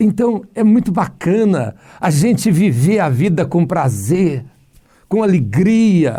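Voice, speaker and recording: The pace is very slow, the tone dark and mellow. Pitch swings very widely while loudness stays very even. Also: man, high pitch for a man. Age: 60s. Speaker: pastor. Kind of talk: casual chat. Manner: animated.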